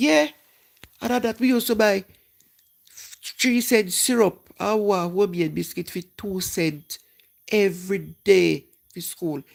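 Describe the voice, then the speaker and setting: A woman with a Jamaican accent, medium-pitched, at a fairly slow pace. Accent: Jamaican, patois-inflected. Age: 60s. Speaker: live-stream host. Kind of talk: casual chat.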